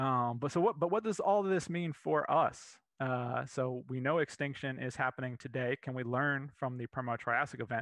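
Recorded dry with no echo and a quiet background, a man speaks with an American accent. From Florida. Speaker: paleontologist, museum curator. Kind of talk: lecture. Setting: live virtual presentation. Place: home room. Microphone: headset.

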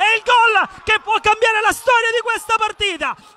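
A man speaks in a raised, projected voice at an extremely high pitch, with a dry, close sound free of echo and noticeable background noise. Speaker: football match commentator. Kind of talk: live sports commentary. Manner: urgent, clipped calls that build up at chances.

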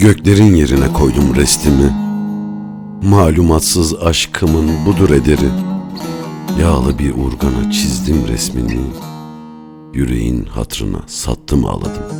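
Over music in the background, a man with a very deep, low pitch speaks very slowly with lively intonation and long, frequent pauses. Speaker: poetry narrator. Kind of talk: poetry reading.

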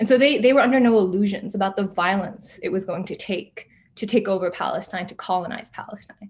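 A woman talks at medium pitch and a very fast pace, somewhat breathy. Her loudness swings widely while her pitch varies in an ordinary way. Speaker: writer and organizer. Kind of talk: lecture.

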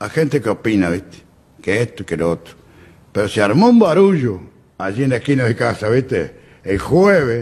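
With very wide pitch swings, a man talks at a moderate pace. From Uruguay, Durazno. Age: 80s+. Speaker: flood-zone resident. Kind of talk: interview. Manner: halting. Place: studio. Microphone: studio mic.

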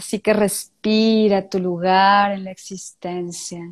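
Against a quiet background, a woman speaks at a very slow pace in a monotone, flat intonation. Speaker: tantra therapist; tantra guest teacher. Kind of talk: guided meditation; interview. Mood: calm, soft, meditative. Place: home room. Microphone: handheld.

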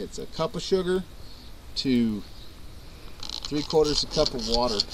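A man speaks with noticeable background noise in the recording. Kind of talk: casual tutorial while working. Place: open country.

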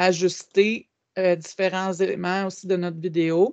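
A woman is speaking. Her background is quiet. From Quebec. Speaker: educational technology trainer. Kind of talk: webinar tutorial. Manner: hesitant with frequent fillers. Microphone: video call.

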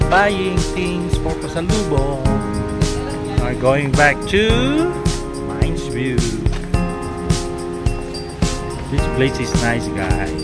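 Male speech at a very slow pace over loud background music. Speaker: travel vlogger. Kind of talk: casual vlog chat. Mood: relaxed, pleased. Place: street. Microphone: phone near.

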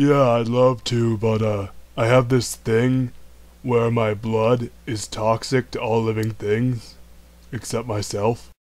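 A man puts on a cartoonish character voice at a medium pitch, speaking at a fairly slow pace with monotone, flat intonation. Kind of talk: cartoon comedy voice acting. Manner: laid-back, smug, mischievous.

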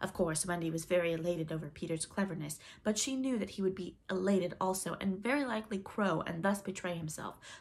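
The speaker has a natural reading voice, and the pitch variation is ordinary.

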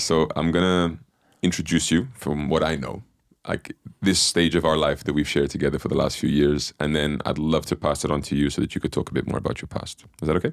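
Against a quiet background, a man with a very deep, low pitch and vocal fry talks at a very fast pace with fairly even intonation, in a dry sound with no echo. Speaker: podcast host. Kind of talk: interview introduction. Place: studio. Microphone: studio mic.

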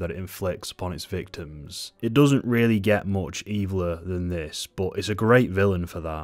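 With a southern English accent, a man speaks in a very deep, low voice with hardly any pauses over a quiet background. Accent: British, southern English. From England. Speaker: book and film reviewer. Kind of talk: casual review talk to camera. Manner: witty, casual, swears a lot. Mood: sardonic, animated, swears a lot. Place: home room. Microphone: studio mic.

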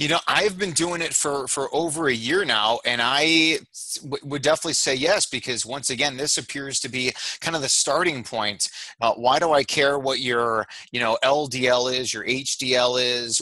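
With an American accent, the speaker has a bright, sharp tone, ordinary pitch variation and a moderate pace, heard dry with no echo against a quiet background. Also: man. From Chicago, US Midwest. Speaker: cardiologist; guest. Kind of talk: casual interview chat. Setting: call. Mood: calm, explanatory. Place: home room. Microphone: headset.

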